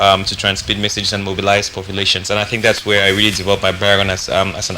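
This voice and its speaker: Noticeable background noise runs under a man's voice. His pitch is fairly low and his intonation monotone and flat. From Cameroon, Bamenda. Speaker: musician and activist. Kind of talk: interview. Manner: hesitant with many fillers.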